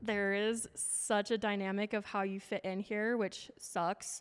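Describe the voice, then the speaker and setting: The speaker is a woman with a western US accent. Her medium-pitched voice stays monotone and flat. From Utah. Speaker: fitness coach and speaker. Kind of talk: casual chat.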